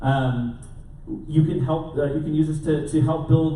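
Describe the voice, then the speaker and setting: A moderately paced man amid noticeable background noise and audible room echo. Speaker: conference speaker. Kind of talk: conference talk. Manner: loud.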